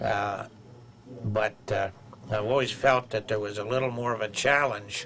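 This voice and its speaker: Noticeable background noise surrounds a man's voice. He speaks at a fairly low pitch with monotone, flat intonation. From central Pennsylvania, US. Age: 80s+. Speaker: fly fishing angler and writer. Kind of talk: interview monologue. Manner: halting, many fillers.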